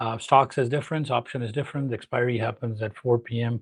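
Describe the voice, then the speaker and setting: A man with a Pakistani accent speaks at a fairly quick pace in a medium pitch, his intonation fairly even and his voice somewhat breathy against a quiet background. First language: Urdu. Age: 40s. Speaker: trading educator. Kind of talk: live stream talk. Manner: halting.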